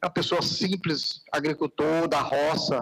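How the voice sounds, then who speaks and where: This man has an unremarkable speaking voice with a fairly high pitch. He talks at a fairly slow pace. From Piauí, northeastern Brazil. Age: 60s. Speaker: city councillor. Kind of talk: council session speech. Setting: council chamber, live broadcast.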